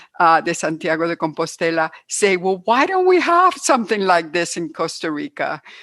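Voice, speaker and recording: A woman speaks at a moderate pace with a Cuban American accent and a fairly low pitch. The background is quiet. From Cuba, then United States. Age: 70s. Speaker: hiker and trail organizer. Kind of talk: interview.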